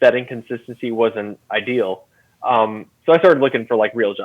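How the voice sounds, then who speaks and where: A fairly quick man's voice, its pitch varying in the ordinary way. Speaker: content director at a woodworking tool company. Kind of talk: casual interview chat. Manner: loud; filler-heavy, hesitant.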